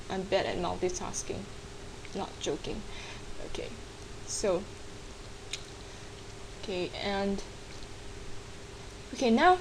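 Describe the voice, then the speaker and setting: Over noticeable background noise, a woman with a non-native accent speaks at a fairly slow pace with very wide pitch swings. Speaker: digital artist. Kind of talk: screen-recorded software tutorial.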